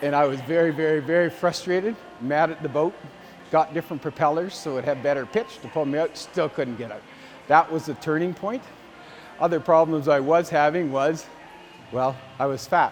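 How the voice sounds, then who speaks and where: A man with a Canadian prairie accent, a fairly high voice, ordinary pitch variation, a fairly quick pace and long, frequent pauses, over noticeable background noise. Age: 60s. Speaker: farmer, gym client. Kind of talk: testimonial interview. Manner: casual, halting with fillers and repetitions.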